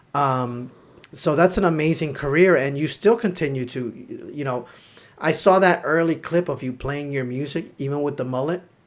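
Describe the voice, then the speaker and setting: A man with a Spanish accent and fairly high pitch at a moderate pace, with ordinary pitch variation. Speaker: livestream host. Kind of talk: casual interview.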